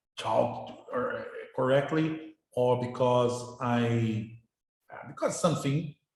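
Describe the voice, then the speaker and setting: In a room with audible echo, a man speaks very slowly with ordinary pitch variation. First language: Portuguese. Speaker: university professor. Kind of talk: lecture. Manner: halting, with many repetitions.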